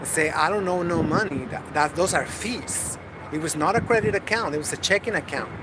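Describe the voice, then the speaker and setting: There is audible room echo and noticeable background noise around a man whose pitch is fairly high. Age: 50s. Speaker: vlogger. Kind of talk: casual video diary. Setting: gym. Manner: halting, many fillers.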